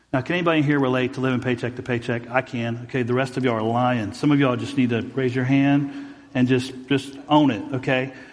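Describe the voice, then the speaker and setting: Delivered at a very fast pace with hardly any pauses, the voice is monotone with flat intonation and has audible room echo. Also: man, medium pitch for a man. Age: 40s. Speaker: pastor. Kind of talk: sermon. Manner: halting.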